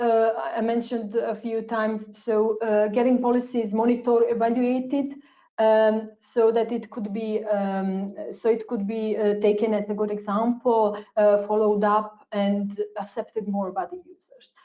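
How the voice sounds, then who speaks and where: A woman's fairly high, monotone, flat voice at a fairly slow pace, with big swings in loudness. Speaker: researcher presenting a policy study. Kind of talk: webinar presentation. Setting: webinar. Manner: hesitant, many fillers.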